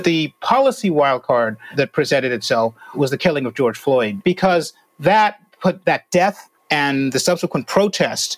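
This man has a normal speaking voice, fairly high in pitch, with lively intonation. He talks at a fairly slow pace in a dry, close sound with no echo. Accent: American. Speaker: opinion columnist. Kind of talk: casual interview chat.

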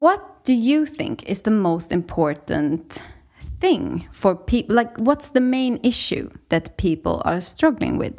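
A woman's fairly high voice in a Swedish accent, very slow, with very wide pitch swings. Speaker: podcast host. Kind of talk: interview.

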